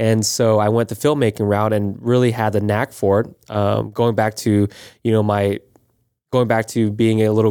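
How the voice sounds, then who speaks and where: In a very clean recording with a silent background, a man with an American accent speaks fairly quickly in a fairly low, dark, mellow voice with monotone, flat intonation. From Florida, Panama City. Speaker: video producer and podcast co-host. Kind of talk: casual chat.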